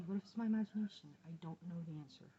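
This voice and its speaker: Somewhat breathy with a dark, mellow tone, a woman speaks with ordinary pitch variation. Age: 40s. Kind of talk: personal video diary to camera.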